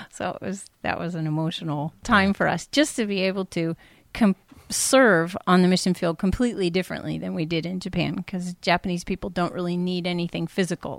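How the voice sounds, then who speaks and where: Speaking with an American accent, a woman has a normal speaking voice, a fairly low pitch and ordinary pitch variation at a fairly quick pace. The recording is very clean, with a silent background and a dry, close sound with no echo. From California. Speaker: missionary. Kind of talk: casual interview.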